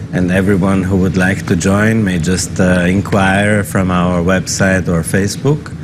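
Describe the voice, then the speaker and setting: A man with a very deep, low voice speaks at a fairly slow pace with very even loudness, fairly even intonation and hardly any pauses, with audible room echo and noticeable background noise. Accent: German. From German-speaking northern Italy. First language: German dialect. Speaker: business chamber executive director. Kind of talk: interview.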